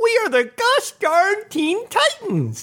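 A put-on character voice squeaks at an extremely high pitch. It swings very widely in pitch and moves at a very slow pace. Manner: exaggerated, playful cartoon delivery.

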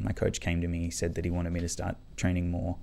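A man's very deep, low voice at a fairly quick pace, with an Australian accent. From Australia, Canberra. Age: 30s. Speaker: circus acrobat and magician. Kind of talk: casual interview chat. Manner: halting, many fillers and restarts.

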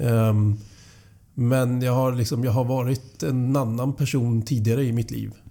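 At a fairly slow pace, a man speaks with a dark, mellow tone, a medium pitch and monotone, flat intonation. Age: 40s. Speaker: painter and construction company culture manager. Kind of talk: podcast interview.

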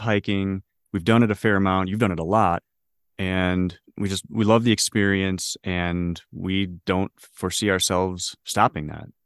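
A man with a normal speaking voice and an American accent talks at a moderate pace with a fairly low pitch, dry and close with no echo, over a quiet background. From Michigan (Detroit). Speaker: hiking podcast co-host. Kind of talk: casual chat.

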